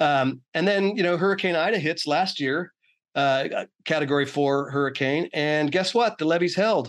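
Against a quiet background, a man with an American accent and a plain, everyday voice speaks at a moderate pace in a fairly high pitch, with ordinary pitch variation and very even loudness. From Oakland, California. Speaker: author and former solar industry worker. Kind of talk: interview conversation.

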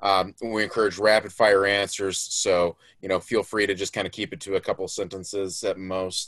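In a dry, close recording with no echo and a quiet background, a man with an American accent speaks at a moderate pace in a fairly low, monotone voice, with hardly any pauses. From Florida, US. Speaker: podcast co-host. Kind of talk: casual chat.

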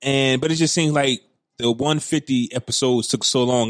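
An unremarkable speaking voice moves at a fairly quick pace, with a dry, close sound and no echo. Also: man. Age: 30s. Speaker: podcast host. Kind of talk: casual banter podcast chat.

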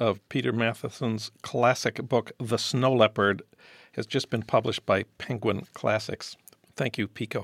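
In a very clean recording with a silent background and a dry, close sound with no echo, a man with a plain, everyday voice talks at a fairly slow pace with ordinary pitch variation. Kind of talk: podcast interview and intro.

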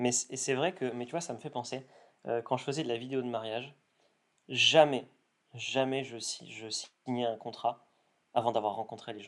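Medium in pitch, a man speaks at a moderate pace with fairly even intonation, big swings in loudness and long, frequent pauses. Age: 20s. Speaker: content creator. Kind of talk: interview. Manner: hesitant with fillers.

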